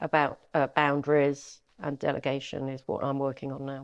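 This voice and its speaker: With a London accent, a woman talks at a moderate pace over a quiet background. Her pitch is very deep and low, and her intonation is monotone and flat. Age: 60s. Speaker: estate agent. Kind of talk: interview.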